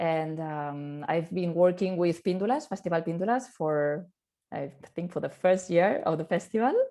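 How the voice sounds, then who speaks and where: At a fairly low pitch, a woman speaks with a dark, mellow tone. Her pace is moderate and her pitch variation ordinary, over a quiet background. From Catalonia, Barcelona. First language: Catalan or Spanish. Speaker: actress. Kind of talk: round table discussion. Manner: halting, many fillers and repetitions.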